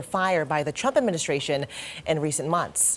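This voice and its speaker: A woman with an ordinary speaking voice and an American accent, fairly low in pitch, at a fairly quick pace with ordinary pitch variation. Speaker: news anchor and reporter. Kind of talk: local TV news anchoring.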